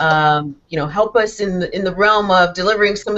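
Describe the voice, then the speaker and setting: A woman talks in a normal speaking voice at a medium pitch, with ordinary pitch variation. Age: 60s. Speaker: talk show host. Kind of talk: interview discussion.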